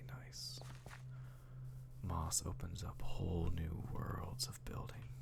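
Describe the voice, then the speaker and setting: Noticeable background noise sits behind a soft-spoken man whose relaxed tone comes in a very deep, low pitch. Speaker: Minecraft ASMR content creator. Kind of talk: soft-spoken ASMR gameplay narration. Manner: soft-spoken, slow, relaxed.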